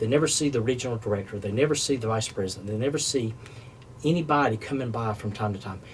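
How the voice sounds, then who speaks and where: Speaking at a very fast pace, a man with a North Carolina accent uses a medium pitch with ordinary pitch variation. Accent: Southern US, North Carolina. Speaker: food service business developer. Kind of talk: podcast interview.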